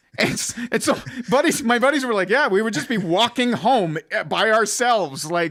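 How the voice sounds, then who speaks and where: This man has an Ottawa Valley accent. His pitch is high for a man. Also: lively intonation, moderate pace. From Ottawa Valley, Ontario, Canada. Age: 40s. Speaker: podcast host. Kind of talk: casual chat.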